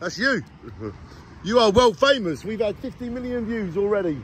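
With a bright, sharp tone, a man speaks in a raised, projected voice and lively intonation, the sound dry with no echo and light background noise behind him. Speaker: motorbike road trip vlogger. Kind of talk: casual vlog chat. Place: street. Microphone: phone near.

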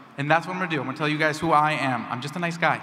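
A man with a fairly high-pitched voice. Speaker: party vice chair candidate; candidate. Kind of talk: debate speech. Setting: stage with audience. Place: hall. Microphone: podium.

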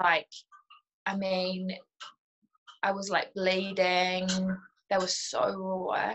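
Speaking at a very slow pace, a woman with a New Zealand accent delivers her words in a monotone, flat intonation. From New Zealand, Auckland. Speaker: new mother sharing breastfeeding experience. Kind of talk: casual interview. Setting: video call from kitchen. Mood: candid, relaxed, reflective. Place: home room. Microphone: video call.

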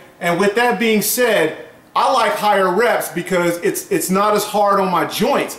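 There is audible room echo as a man talks at a high pitch with ordinary pitch variation. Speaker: fitness blogger. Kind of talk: casual vlog advice. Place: home room. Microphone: camera far.

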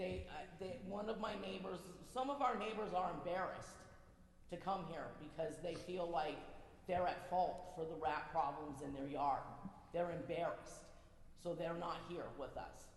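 Speaking at a moderate pace, a woman uses fairly low pitch and ordinary pitch variation amid audible room echo. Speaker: resident speaking at public meeting. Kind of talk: public comment at town council meeting. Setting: town council meeting room.

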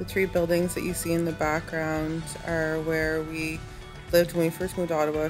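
Clear music plays in the background while the speaker talks at a fairly quick pace. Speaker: vlogger giving a city tour. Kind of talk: casual vlog chat. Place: car. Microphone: phone near.

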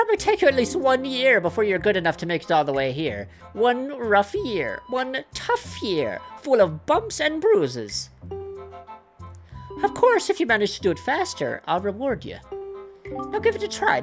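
Clear music plays behind a put-on character voice that speaks at a fairly high pitch and a moderate pace.

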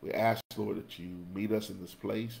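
Fairly low in pitch, a man speaks at a moderate pace with fairly even intonation. Light background noise sits behind him. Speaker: Sunday school teacher. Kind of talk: lesson introduction and prayer. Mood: earnest, prayerful. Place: home room. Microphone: webcam.

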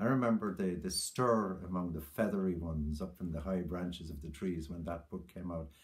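In an Irish accent, a man speaks in a very deep, low voice with a warm tone that is somewhat breathy. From Ireland. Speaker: poet. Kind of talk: tribute talk then poem reading aloud. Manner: measured, reflective, warm; lyrical, slow, hushed reading of the poem. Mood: warm, reflective remembrance. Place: home room. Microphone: webcam.

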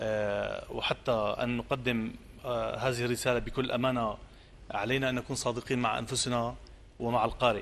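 Light background noise accompanies a man speaking at a fairly slow pace in a monotone, flat intonation. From Syria, coastal village. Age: 40s. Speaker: poet. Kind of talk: interview. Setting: outdoor theatre, live broadcast. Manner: halting. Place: studio.

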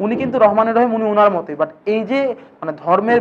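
A man is speaking. His pitch varies in an ordinary way. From Bangladesh. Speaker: teacher. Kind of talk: lecture. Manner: casual, conversational.

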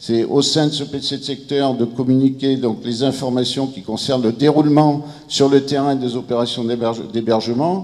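Speaking at a moderate speed, a man shows ordinary variation in pitch. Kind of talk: conference presentation. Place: meeting room. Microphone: handheld.

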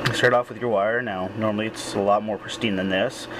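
Noticeable noise fills the background. Over it, a man talks very fast. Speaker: hobbyist vlogger. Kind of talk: casual tutorial.

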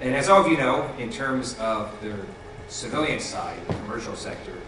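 A man speaks at a moderate pace with audible room echo. Noticeable background noise runs underneath. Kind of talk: public speech. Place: hall.

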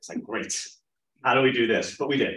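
Here a man speaks at a medium pitch with a New York accent. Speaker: film producer and CEO. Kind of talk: conference talk. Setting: stage with audience.

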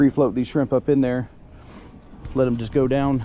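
A man's voice over light background noise. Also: dry sound with no echo. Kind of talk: casual fishing tutorial commentary. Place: boat. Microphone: phone near.

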